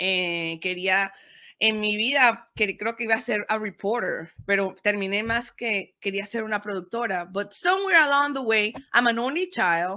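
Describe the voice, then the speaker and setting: In a very clean recording with a silent background, a woman with a Spanish accent speaks at a fairly high pitch in a bright, sharp tone. Her pace is moderate and her pitch variation ordinary. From Panama. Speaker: podcaster and media producer. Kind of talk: interview, code-switching Spanish and English.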